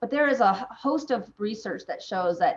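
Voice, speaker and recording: Lively intonation colors a woman's speech at a moderate pace. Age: 40s. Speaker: physician. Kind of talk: interview. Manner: halting.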